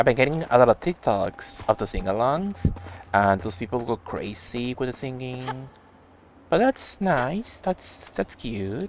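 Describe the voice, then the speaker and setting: The speaker has a Spanish accent and talks at a fairly slow pace. Background noise is noticeable. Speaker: game streamer. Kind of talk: casual live-stream chat. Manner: animated.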